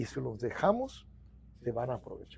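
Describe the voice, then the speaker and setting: A man is speaking. He goes at a fairly slow pace. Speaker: union president; interviewee. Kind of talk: interview. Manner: halting, repetitive. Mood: earnest, reflective. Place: office. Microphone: lapel.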